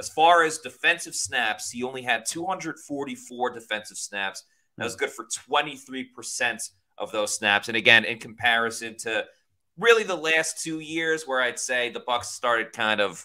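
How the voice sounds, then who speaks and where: Over a quiet background, a man with a bright, sharp tone talks at a fairly slow pace. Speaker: sports podcast host. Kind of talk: commentary. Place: home room. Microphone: studio mic.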